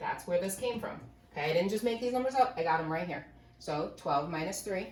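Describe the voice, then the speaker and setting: Amid noticeable background noise and audible room echo, a woman speaks fairly quickly at a medium pitch with lively intonation. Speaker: math teacher. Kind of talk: lecture. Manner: fast.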